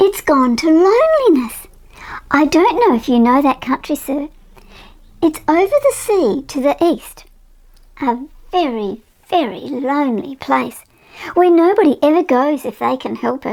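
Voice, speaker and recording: In a put-on character voice, a woman speaks at a moderate pace with a high pitch and long, frequent pauses. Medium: read story. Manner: polite, eager.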